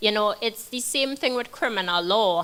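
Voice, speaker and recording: Bright and sharp in tone, a woman speaks with a fairly high pitch. Her intonation is lively and her pace moderate. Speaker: criminal defense attorney. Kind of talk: panel discussion.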